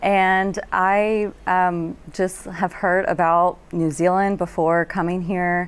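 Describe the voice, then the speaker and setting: A woman speaks with a Texan accent on a very clean recording with a silent background. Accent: Texan American. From Texas. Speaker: marine science student. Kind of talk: panel discussion.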